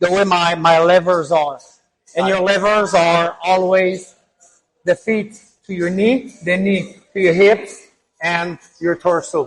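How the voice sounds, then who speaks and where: With a Quebec accent, the speaker talks at a very slow pace, using fairly even intonation and long, frequent pauses. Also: man, high pitch for a man. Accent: French Canadian accent in English. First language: French. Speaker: fitness coach and naturopath. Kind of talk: tutorial.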